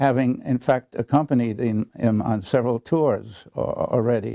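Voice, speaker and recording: In a dry, close recording with no echo, a man with an American accent speaks at a fairly slow pace. His medium-pitched voice has a dark, mellow tone and ordinary pitch variation. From New York / German. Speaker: composer, conductor, jazz historian and educator. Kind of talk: interview answer. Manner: hesitant, full of fillers, conversational.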